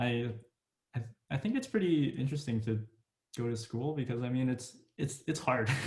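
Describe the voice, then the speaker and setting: At a moderate pace, a man with a somewhat breathy voice speaks with long, frequent pauses. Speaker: podcast host, college student. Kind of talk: casual chat. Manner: halting, repeats words.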